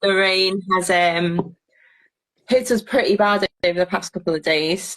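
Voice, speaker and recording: A woman speaks in a Scouse accent at a medium pitch and a fairly slow pace. Her intonation is fairly even, and the sound is dry and close with no echo. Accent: Scouse, can't get rid of it. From Liverpool area, England. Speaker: allotment gardener. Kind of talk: casual chat.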